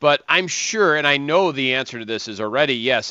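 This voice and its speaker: Bright and sharp in tone, a man with an American accent speaks at a moderate pace with lively intonation, in a dry, close sound with no echo and a quiet background. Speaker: sports radio host. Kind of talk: radio show.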